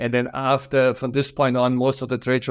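Against a quiet background, a man speaks at a medium pitch with a strong German accent. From Germany. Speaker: furniture company owner. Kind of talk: interview.

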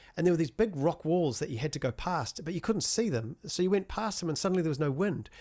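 Talking at a very fast pace, a man with a New Zealand accent uses a fairly high pitch and lively intonation. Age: 40s. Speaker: music composer and sound designer, runner. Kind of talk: casual interview chat. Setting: video call from home studio.

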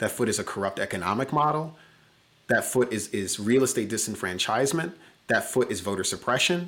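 On a very clean recording with a silent background, a man with an American accent and a normal speaking voice talks fairly quickly at a medium pitch with lively intonation. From US Midwest, Chicago. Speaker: diversity consultant and company CEO. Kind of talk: interview conversation.

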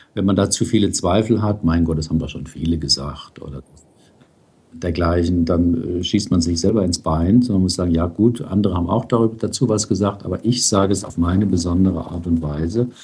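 This man has a very deep, low pitch and a dark, mellow tone, speaking somewhat breathily at a fairly quick pace with ordinary pitch variation. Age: 60s. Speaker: psychotherapist and blogger. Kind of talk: interview. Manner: hesitant with fillers.

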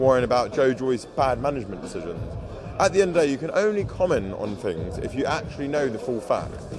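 The speech moves at a fairly quick pace with very wide pitch swings. Music plays in the background. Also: man. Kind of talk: angry rant. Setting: press event, interview. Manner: aggrieved, indignant.

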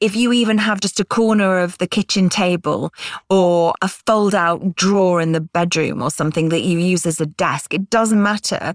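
In a very clean recording with a silent background and a dry, close sound with no echo, a woman with a British accent speaks at a medium pitch and moderate pace with very even loudness. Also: ordinary pitch variation. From Britain. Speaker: author and freelancer. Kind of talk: interview podcast.

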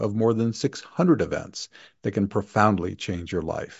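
A man with an unremarkable speaking voice talks at a moderate pace in a fairly low pitch, using ordinary pitch variation. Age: 60s. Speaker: podcast host. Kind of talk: solo monologue; promotional plug.

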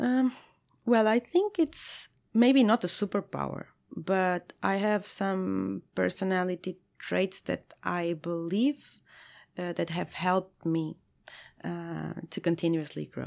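A woman talks at a very slow pace, captured in a very clean recording over a silent background. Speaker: head of product. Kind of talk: interview. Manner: halting.

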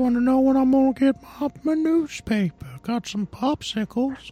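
This is a put-on character voice. Its pace stays moderate. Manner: creepy, leering.

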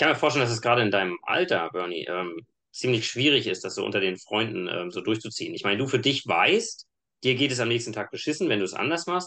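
A man's very fast, bright and sharp voice at medium pitch with very wide pitch swings, over a quiet background. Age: 30s. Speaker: engineer and fitness coach. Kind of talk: casual chat.

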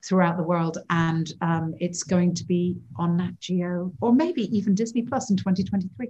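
A woman with an English accent speaks at a fairly slow pace, her fairly low, somewhat breathy voice moving with ordinary pitch variation. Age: 50s. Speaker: wildlife cinematographer. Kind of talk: interview.

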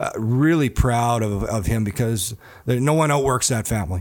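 With a normal speaking voice, a man talks at a medium pitch and a fairly quick pace. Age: 40s. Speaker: hockey analyst and former NHL player. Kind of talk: interview. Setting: studio.

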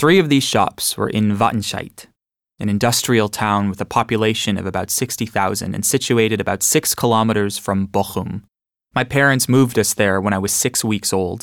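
Here a man with a plain, everyday voice speaks at a moderate pace, his fairly low pitch showing ordinary variation. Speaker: audiobook narrator. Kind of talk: reading aloud.

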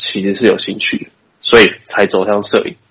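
A man talks at a moderate pace. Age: 20s. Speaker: video production company owner. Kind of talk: interview. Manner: halting.

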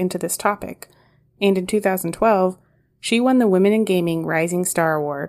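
A woman with a normal speaking voice speaks at a moderate pace in an American accent, her medium pitch showing ordinary variation, on a very clean recording with a silent background. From Los Angeles. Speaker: podcast co-host. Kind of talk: casual interview.

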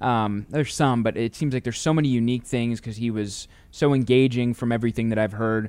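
A man with a Midwestern American accent talks very fast at medium pitch with fairly even intonation, on a very clean recording with a silent background. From St. Louis, Missouri, US Midwest. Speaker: podcast host for a baseball team. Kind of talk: interview. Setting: stadium studio.

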